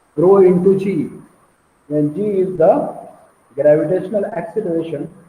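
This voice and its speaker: Speaking at a fairly slow pace, a man with a dark, mellow tone shows ordinary pitch variation amid audible room echo. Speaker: engineering lecturer. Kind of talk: lecture. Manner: repetitive, hesitant.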